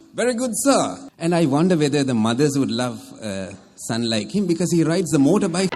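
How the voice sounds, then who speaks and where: Over music in the background, a man with a fairly high pitch speaks at a fairly quick pace in a confident tone, his pitch swinging very widely. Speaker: military officer and public speaker. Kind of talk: wedding toast speech. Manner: humorous, confident, well-paced stage delivery.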